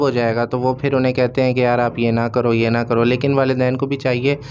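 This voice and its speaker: Light background noise behind a male speaker. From Pakistan. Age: 20s. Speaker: young businessman; guest. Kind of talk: studio interview. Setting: studio. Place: studio. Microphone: handheld.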